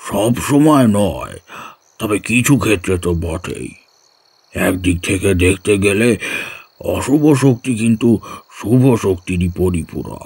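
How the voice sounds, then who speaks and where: A put-on character voice moves at a fairly slow pace. Its intonation is lively. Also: man, fairly low pitch for a man. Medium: audio drama. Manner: warm, patient, instructive.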